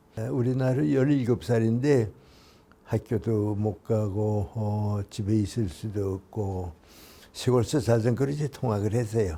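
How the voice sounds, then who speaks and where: A man's fairly low, somewhat breathy voice with a dark, mellow tone, ordinary pitch variation and a very slow pace, on a very clean recording with a silent background. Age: 80s+. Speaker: philosopher, professor. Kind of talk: interview answer.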